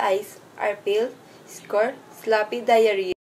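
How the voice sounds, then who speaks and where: A woman talks over light background noise. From Philippines. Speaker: agriculture student; presenter. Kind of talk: class report presentation. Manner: partly reading aloud. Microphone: phone near.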